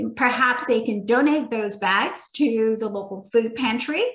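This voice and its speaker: Speaking rather slowly, a woman has an unremarkable speaking voice. Her voice is pitched fairly high, and her intonation stays fairly level. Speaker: environmental nonprofit program leader. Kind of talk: webinar presentation and Q&A.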